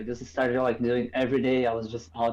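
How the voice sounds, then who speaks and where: Someone speaks at a moderate pace in a Portuguese accent. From Brazil. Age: 20s. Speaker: photographer. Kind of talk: casual chat.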